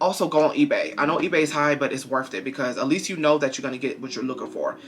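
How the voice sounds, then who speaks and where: The speaker has an American accent and an animated tone at a very fast pace. Noticeable background noise runs underneath. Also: man. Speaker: YouTuber. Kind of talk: haul video, casual talk to camera.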